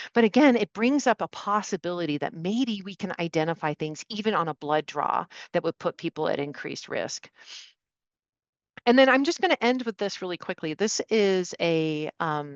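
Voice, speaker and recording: The voice has lively intonation, with a dry, close sound with no echo and a quiet background. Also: woman, medium pitch for a woman. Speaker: medical expert. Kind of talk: webinar presentation. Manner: fast.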